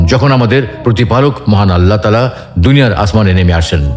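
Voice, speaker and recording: Music plays in the background as a man speaks at a medium pitch. His pitch swings very widely. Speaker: Islamic voice narrator. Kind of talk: religious talk narration.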